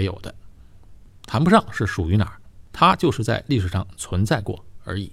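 At a fairly quick pace, a man with a fairly low pitch and a somewhat breathy voice speaks with lively intonation in a very clean recording with a silent background. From Tianjin, northern China. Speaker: podcast host. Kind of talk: casual monologue.

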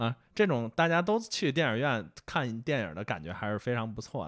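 Very wide pitch swings from a man at a medium pitch, fairly quick in pace, on a very clean recording with a silent background. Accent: strong Beijing. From Beijing. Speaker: film fan, new team member. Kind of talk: casual chat.

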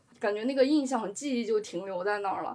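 In an unremarkable speaking voice, a woman talks at a fairly quick pace with fairly high pitch and fairly even intonation. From China, Shaanxi, small city near Xi'an. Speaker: sports journalist. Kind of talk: casual chat.

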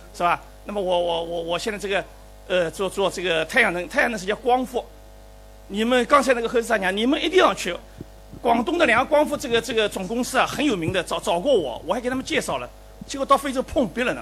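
Speech at a very fast pace carries lively intonation despite noticeable background noise. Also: man, high pitch for a man. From Shanghai. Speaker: professor, invited commentator. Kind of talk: closing commentary at a public forum. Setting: lecture hall with live audience. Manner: halting.

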